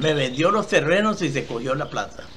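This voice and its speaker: A man speaks fairly slowly in a fairly high voice. Audible room echo and noticeable background noise are present. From Costa Rica, Esparza (Puntarenas). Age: 80s+. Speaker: elderly entrepreneur telling his life story. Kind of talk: interview testimony. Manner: halting, with repetitions.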